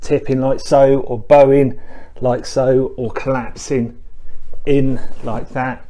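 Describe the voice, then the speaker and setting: Monotone and flat in intonation, a man talks. His pace is very slow. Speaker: fitness instructor. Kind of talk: tutorial. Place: home room. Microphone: camera far.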